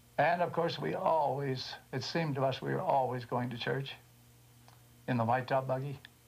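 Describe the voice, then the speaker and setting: A somewhat breathy man speaks at a moderate pace. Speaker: interviewee. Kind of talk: interview answer. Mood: warm nostalgic reminiscence.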